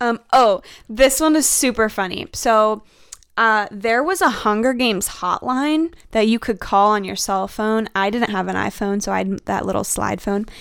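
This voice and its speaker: A woman with an American accent speaks in a normal speaking voice. Her pitch is fairly high, with ordinary variation, at a moderate pace. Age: 20s. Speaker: nursing student. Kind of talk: casual chat. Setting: studio.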